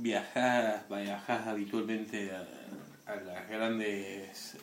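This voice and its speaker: A very slow pace, with audible room echo and noticeable background noise. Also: man. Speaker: amateur radio show co-host. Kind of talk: casual joking chat.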